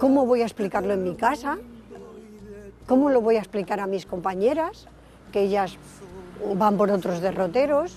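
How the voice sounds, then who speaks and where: With lively intonation and a medium pitch, a woman talks at a moderate pace with long, frequent pauses over noticeable background noise. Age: 60s. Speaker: interviewee. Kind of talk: testimony.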